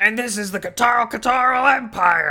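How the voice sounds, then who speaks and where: Someone puts on a character voice pitched fairly high. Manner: cheesy, over-the-top dub style.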